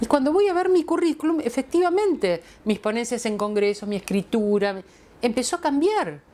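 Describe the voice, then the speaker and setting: This woman speaks at a moderate pace with a high pitch. Her pitch swings very widely. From Argentina. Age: 60s. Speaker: feminist philosopher; interviewee. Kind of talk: testimonial interview. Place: home room. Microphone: lapel.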